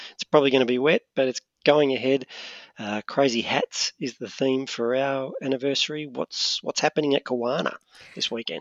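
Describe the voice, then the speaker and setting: At a moderate pace, a man talks in a medium pitch with an Australian accent. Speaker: podcast fill-in host. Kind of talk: casual chat. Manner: animated.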